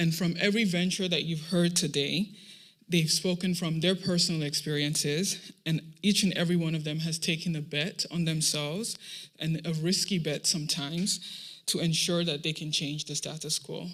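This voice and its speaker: A Nigerian accent at a moderate pace on a very clean recording with a silent background. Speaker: program manager at a startup accelerator. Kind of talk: closing speech at a pitch showcase.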